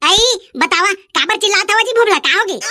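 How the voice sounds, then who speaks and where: Putting on a cartoonish character voice, a woman speaks in an extremely high, squeaky pitch at a fairly quick pace with ordinary pitch variation. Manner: bargaining, cheeky.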